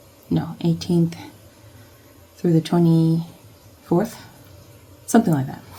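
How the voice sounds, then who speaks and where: A soft-spoken woman with a dark, mellow, somewhat breathy tone talks at a very slow pace. Long, frequent pauses break up her speech. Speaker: academic and planner vlogger. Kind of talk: casual vlog. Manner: halting.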